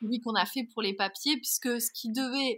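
Her voice is high-pitched with a bright, sharp tone and ordinary pitch variation, at a moderate pace. The woman's sound is dry and close, with no echo. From France. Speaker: bridal boutique owner. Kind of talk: interview conversation.

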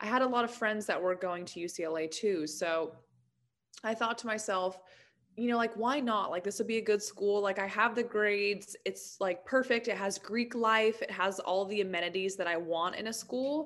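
This woman has an ordinary speaking voice with ordinary pitch variation. She talks at a moderate pace. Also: medium pitch for a woman. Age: 20s. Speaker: motivational speaker and author. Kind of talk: casual chat.

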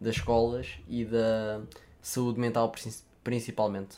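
Here a man talks with a European Portuguese accent. His pace is fairly slow. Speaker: podcast host. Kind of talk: casual chat.

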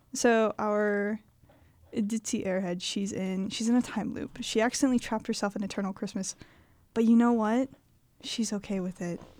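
On a very clean recording with a silent background, a woman uses a normal speaking voice at a fairly high pitch, with fairly even intonation and a moderate pace. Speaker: podcast co-host and writer. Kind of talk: casual chat, improvised writing game.

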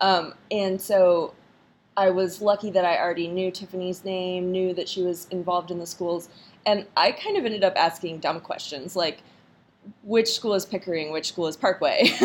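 With an American accent, a woman speaks in a plain, everyday voice at a medium pitch, a moderate pace and fairly even intonation. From North Carolina. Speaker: podcast host, army spouse. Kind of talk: interview.

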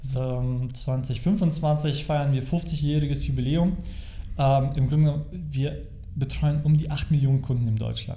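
A man talks at a very slow pace with medium pitch and fairly even intonation. There is audible room echo. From Germany, East Westphalia-Lippe. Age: 40s. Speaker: financial advisor. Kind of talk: casual interview. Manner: halting, many fillers.

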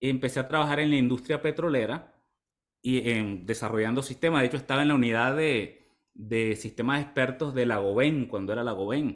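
A man with an ordinary speaking voice, medium in pitch with ordinary pitch variation, talks at a moderate pace on a very clean recording where the background is silent. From Venezuela, eastern (Maturín, Monagas). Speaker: health coach. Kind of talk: casual interview chat.

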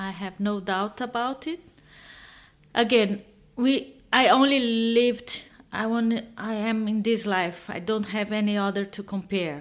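Speaking with a Portuguese accent, a woman uses a fairly high pitch, ordinary pitch variation and a fairly slow pace. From Brazil. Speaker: expat author. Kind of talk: interview conversation. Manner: halting.

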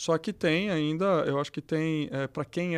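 A man speaks at a fairly high pitch with fairly even intonation. The recording is very clean, with a silent background. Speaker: electrical engineer and executive. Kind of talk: casual interview.

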